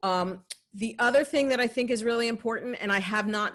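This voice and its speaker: Against a quiet background, the speaker uses an American accent at a moderate pace with ordinary pitch variation. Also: woman. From New Jersey. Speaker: health and safety expert presenter. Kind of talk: training presentation. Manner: conversational with filler words.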